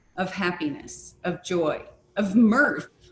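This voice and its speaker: A woman speaks very slowly while noticeable noise fills the background. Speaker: crystal scryer leading an online session. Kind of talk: group discussion. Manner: gentle pace.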